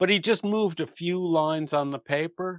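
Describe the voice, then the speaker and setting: Lively intonation marks this man's American accent. He talks at a moderate pace in a dry, close sound with no echo. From US, New Jersey. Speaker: passive solar home consultant. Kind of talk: podcast interview.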